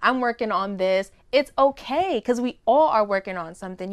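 A woman's fairly high-pitched, ordinary speaking voice at a fairly quick pace, with ordinary pitch variation, in a dry, close sound with no echo against a quiet background. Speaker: singer and recording artist. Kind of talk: casual chat interview.

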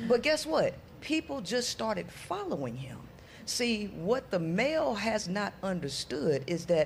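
Somewhat breathy, a woman speaks at a fairly slow pace with very wide pitch swings. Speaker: women's empowerment coach. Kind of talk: casual panel chat.

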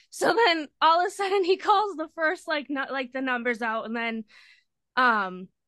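Dry and close with no echo against a quiet background, a woman with an American accent uses a raised, projected voice that is high-pitched, bright and sharp in tone, with very wide pitch swings. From Massachusetts, Lynn. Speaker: friend of the hosts, concertgoer. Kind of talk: casual storytelling.

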